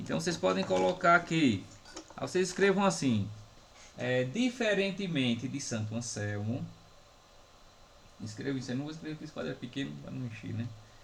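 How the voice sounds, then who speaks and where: A man speaks at a medium pitch with very wide pitch swings, big swings in loudness and long, frequent pauses, over noticeable background noise and audible room echo. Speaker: philosophy professor. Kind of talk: lecture. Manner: slow, dictating.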